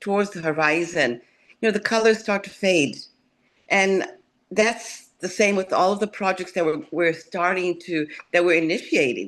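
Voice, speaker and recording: A woman's plain, everyday voice at a medium pitch and moderate pace, against a quiet background. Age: 60s. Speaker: retired corporate professional, forum panelist. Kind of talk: panel discussion. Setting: video call.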